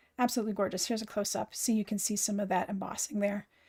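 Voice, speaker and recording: The voice has a dark, mellow tone and sounds somewhat breathy. The recording is very clean, with a silent background. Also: woman. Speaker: craft live streamer. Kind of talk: live stream tutorial. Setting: live stream. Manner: animated.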